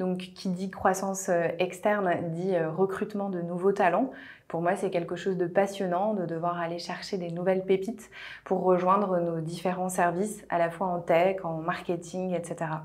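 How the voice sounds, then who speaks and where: Over a quiet background, a woman speaks at a fairly slow pace in a monotone, flat intonation. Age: 30s. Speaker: HR director. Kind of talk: corporate recruitment video testimony. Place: office. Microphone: lapel.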